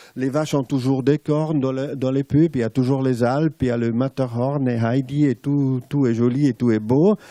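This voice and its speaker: In a Swiss German accent, a man speaks at a medium pitch with a dark, mellow tone and fairly even intonation, recorded dry and close with no echo. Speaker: former advertising executive turned cheese entrepreneur. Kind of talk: conference talk. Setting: stage with audience. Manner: halting.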